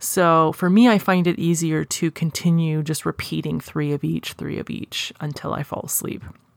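A woman talks with hardly any pauses in a calm tone, her very deep, low pitch showing ordinary variation. The sound is dry and close with no echo, on a very clean recording with a silent background. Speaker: hypnosis practitioner and podcast host. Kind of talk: guided meditation, hypnotic script led slowly and soothingly. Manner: slow, rhythmic, calm, with long pauses between counted cues.

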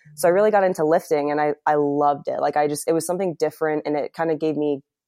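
Speaking very fast, a woman with a very deep, low pitch and a dark, mellow tone keeps her intonation fairly even against a quiet background. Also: dry, close sound with no echo. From Ohio, US (born in England). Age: 20s. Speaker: health coach. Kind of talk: casual interview chat.

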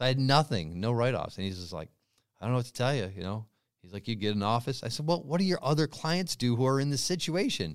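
Talking at a very fast pace, a man with a medium pitch makes very wide pitch swings on a very clean recording with a silent background. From Western Massachusetts, US. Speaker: real estate investor. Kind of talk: interview.

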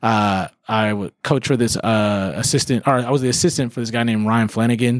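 A man speaks with an American accent at a medium pitch and a fairly quick pace. It is an ordinary speaking voice with ordinary pitch variation. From Germany, then Austin, Texas. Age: 30s. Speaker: high school soccer coach. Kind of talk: casual interview.

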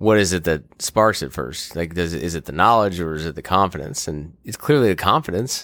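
On a very clean recording with a silent background, a man with an American accent and a very deep, low pitch talks with lively intonation, vocal fry and hardly any pauses. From Maryland, US. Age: 30s. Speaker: lacrosse player and hunter. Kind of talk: casual chat.

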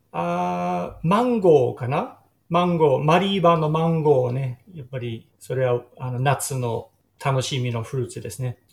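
A man speaks with an English accent at a medium pitch. His voice is somewhat breathy and his intonation lively. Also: fairly slow pace. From Sydney southern suburbs, Australia. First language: English (speaking Japanese). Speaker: tour operator. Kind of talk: interview. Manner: halting.

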